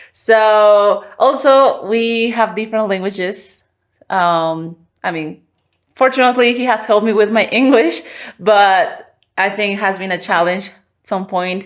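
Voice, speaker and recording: In a Spanish accent, a woman speaks at a fairly slow pace with a fairly high pitch and ordinary pitch variation. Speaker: podcast host. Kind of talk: casual conversation. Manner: halting.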